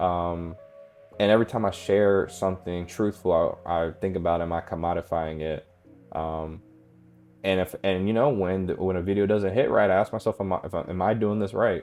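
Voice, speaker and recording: A man with a very deep, low pitch speaks with fairly even intonation as music plays in the background. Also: moderate pace. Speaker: self-reflection YouTuber. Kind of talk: personal reflective monologue. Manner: monotone; halting, many fillers.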